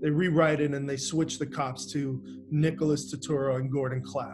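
Over faint music in the background, a man with an American accent speaks at a fairly slow pace in a fairly high pitch with fairly even intonation. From Miami, Florida. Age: 50s. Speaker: actor. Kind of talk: interview. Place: home room. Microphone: webcam.

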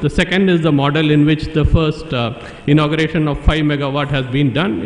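Audible room echo follows a voice moving at a fairly quick pace. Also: man. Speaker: conference speaker. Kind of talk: conference presentation. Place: hall. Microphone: podium.

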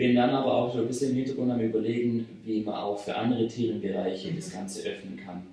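Audible room echo surrounds a man speaking at a fairly quick pace with ordinary pitch variation. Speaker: interviewee. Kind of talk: interview answer. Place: office.

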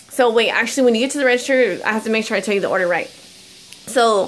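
This woman has a high-pitched voice with ordinary pitch variation. Light background noise sits underneath. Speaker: couponing vlogger. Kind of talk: casual vlog chat. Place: home room. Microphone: phone near.

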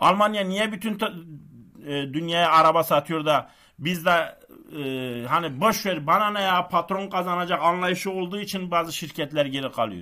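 Bright and sharp, a man's voice rises high in pitch. He keeps a moderate pace over a quiet background. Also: ordinary pitch variation. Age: 40s. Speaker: stock market YouTuber. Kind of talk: casual monologue. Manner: animated. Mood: frustrated, ranting. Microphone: webcam.

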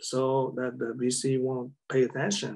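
A man speaks with a Vietnamese accent at a fairly slow pace. The background is quiet. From South Vietnam, Saigon; South Vietnam. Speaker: war veteran; interviewee. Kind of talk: interview. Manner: halting. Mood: calm reminiscing. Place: home room. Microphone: video call.

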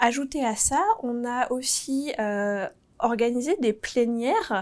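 Lively intonation marks this woman's fairly high voice. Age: 30s. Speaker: marketing team manager. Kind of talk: corporate recruitment video interview. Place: office. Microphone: lapel.

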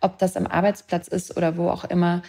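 A woman speaks at a moderate pace in a fairly low pitch. Her tone is dark and mellow, and somewhat breathy. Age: 30s. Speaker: author and film director. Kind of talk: interview podcast.

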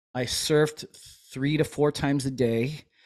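A man speaks at a very slow pace over a quiet background. His intonation stays fairly even. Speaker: chiropractor and army veteran; podcast host, chiropractor as guest mentor. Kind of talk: casual interview chat. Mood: relaxed, reflective. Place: home room. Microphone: studio mic.

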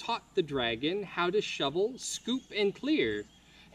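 A passage is being read aloud in a natural voice.

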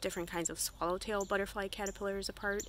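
A woman speaks with a bright, sharp tone. The sound is dry, with no echo. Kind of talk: casual vlog chat. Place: garden. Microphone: phone near.

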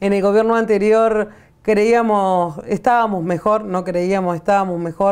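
With a plain, everyday voice, a woman speaks at a fairly slow pace and medium pitch, her intonation fairly even against a quiet background. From Argentina. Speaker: community organizer, workers' movement leader. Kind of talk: interview. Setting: studio. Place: studio. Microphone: lapel.

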